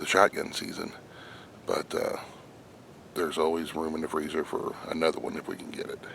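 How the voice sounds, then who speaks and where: A quiet man talks at a moderate pace over noticeable background noise. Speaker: hunter vlogger. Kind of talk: outdoor vlog. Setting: outdoors in woods. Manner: quiet, hushed.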